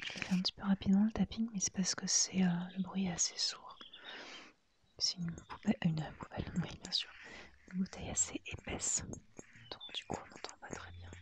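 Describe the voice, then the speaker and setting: A woman is whispering at a moderate pace. Her loudness swings widely. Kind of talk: ASMR haul, whispered and soft-spoken. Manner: hesitant, relaxed.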